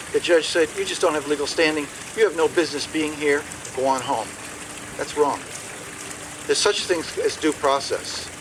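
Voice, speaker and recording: A man talks at a fairly quick pace with a fairly high pitch and fairly even intonation. Long, frequent pauses break his speech amid noticeable background noise. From Maine. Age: 60s. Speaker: political candidate. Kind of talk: question and answer session. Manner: halting, many repetitions and fillers.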